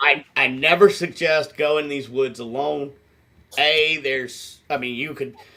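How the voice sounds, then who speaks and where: In an Appalachian accent, a man talks at a fairly slow pace. His tone is bright and sharp, his intonation fairly even. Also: fairly high pitch for a man. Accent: Appalachian American. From Appalachian Mountains, United States. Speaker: paranormal investigator and shaman. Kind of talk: interview answer.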